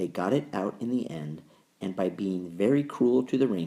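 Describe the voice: Lively intonation in a plain reading aloud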